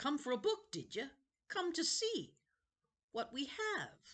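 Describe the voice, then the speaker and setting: In a put-on character voice, the speaker goes fairly slowly at a high pitch with very wide pitch swings. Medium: read story. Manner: eerie, oddly welcoming.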